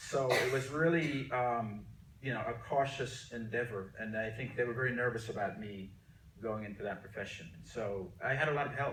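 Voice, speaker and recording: With an American accent and ordinary pitch variation, a man speaks over noticeable background noise, his voice carrying audible room echo. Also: medium pitch for a man, moderate pace. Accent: American English, can switch to Jamaican. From Jamaica, then New Jersey from age twelve. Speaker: artist. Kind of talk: interview. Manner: halting, many fillers.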